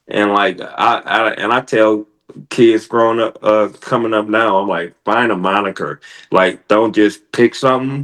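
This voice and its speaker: Fairly low in pitch, a man speaks with an American accent at a fairly slow pace. His intonation is fairly even, and the background is quiet. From Michigan. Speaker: professional wrestler. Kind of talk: podcast interview. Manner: laid back.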